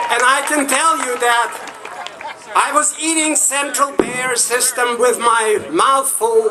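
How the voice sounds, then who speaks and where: Noticeable background noise surrounds a man whose raised, projected voice sits at an extremely high pitch and moves at a very slow pace. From Soviet Union. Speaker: rally speaker, immigrant activist. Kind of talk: political rally speech.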